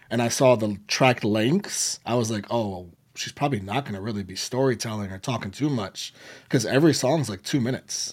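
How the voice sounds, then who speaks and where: An ordinary speaking voice with ordinary pitch variation, captured in a very clean recording with a silent background. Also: man. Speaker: music reaction content creator. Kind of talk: casual chat.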